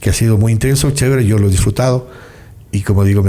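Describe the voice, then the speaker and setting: This voice belongs to a man. There is ordinary variation in his pitch. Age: 60s. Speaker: singer-songwriter. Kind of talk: interview. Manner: halting.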